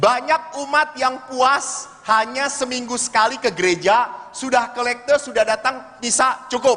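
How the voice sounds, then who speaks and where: A man speaks with a raised, projected voice at an extremely high pitch, his tone animated and his pace fairly slow. Noticeable background noise is present. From Bandung, West Java. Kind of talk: religious talk to congregation. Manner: animated, humorous storytelling.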